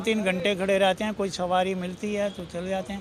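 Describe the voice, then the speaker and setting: Over noticeable background noise, a man talks at a high pitch with fairly even intonation. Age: 60s. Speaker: auto-rickshaw driver. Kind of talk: street interview.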